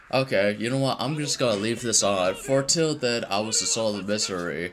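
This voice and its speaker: There is noticeable background noise in this clip. A man speaks at a fairly quick pace in a medium pitch with ordinary pitch variation. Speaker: reaction video creator. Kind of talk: casual reaction commentary. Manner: stuttering, halting; animated.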